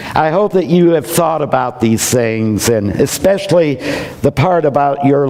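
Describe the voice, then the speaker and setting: Over noticeable background noise, a man with a medium-pitched voice speaks fairly slowly with lively intonation. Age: 60s. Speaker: minister. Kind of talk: sermon.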